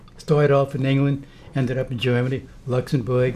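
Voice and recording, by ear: A man speaks at a moderate pace. His tone is slightly mellow.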